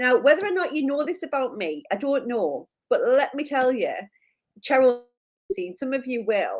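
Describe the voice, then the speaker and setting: Speaking with a Geordie accent, a woman talks at a moderate pace with a high pitch and lively intonation. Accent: Geordie (Newcastle). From northern England, Newcastle. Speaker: live stream co-host. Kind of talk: casual chat. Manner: animated.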